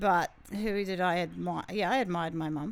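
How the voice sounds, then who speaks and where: Keeping a moderate pace, a woman speaks with a New Zealand accent. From New Zealand, Porirua (Wellington). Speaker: gym owner and entrepreneur. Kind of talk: podcast interview.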